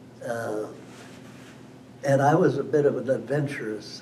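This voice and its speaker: Someone with an American accent speaks at a very slow pace. Room echo is audible and background noise is noticeable. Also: man. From western Wisconsin, US Upper Midwest. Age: 90s. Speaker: local elder telling life history. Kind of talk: oral history interview. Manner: halting, with repetitions.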